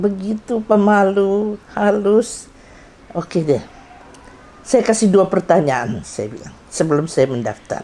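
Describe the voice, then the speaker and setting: Amid noticeable background noise, a woman talks at a fairly slow pace with very wide pitch swings. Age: 70s. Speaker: doctor and karate instructor. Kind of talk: anniversary testimony speech.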